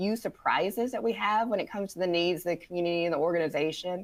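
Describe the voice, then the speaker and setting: A woman at a very fast pace with ordinary pitch variation. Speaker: former town and county manager. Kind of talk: webinar panel discussion.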